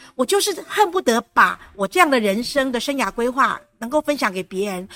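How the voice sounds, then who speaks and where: Here a woman speaks at a high pitch. The sound is dry and close, with no echo. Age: 50s. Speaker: retired teacher and speaker. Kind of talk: interview.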